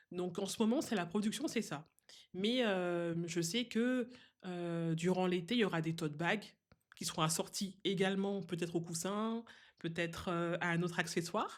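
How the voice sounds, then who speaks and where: Recorded very cleanly with a silent background, a woman of medium pitch talks at a fairly slow pace with ordinary pitch variation. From Guadeloupe. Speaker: seamstress and craft designer. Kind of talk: podcast interview. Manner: hesitant, many fillers.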